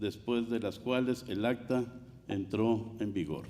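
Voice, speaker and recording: A man speaks at a moderate pace in a dark, mellow tone. Audible room echo surrounds his voice. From Mexico. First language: Spanish. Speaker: water commissioner. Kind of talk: conference speech. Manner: formal.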